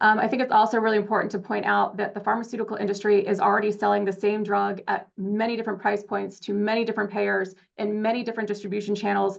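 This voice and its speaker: A woman with a medium pitch talks at a very fast pace with hardly any pauses and monotone, flat intonation. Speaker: advocacy organization representative. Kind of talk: public comment at board meeting. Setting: public board meeting.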